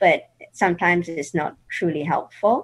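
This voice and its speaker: In a British accent, a woman speaks at a very slow pace. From England. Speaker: patient advocate and conference organizer. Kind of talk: interview.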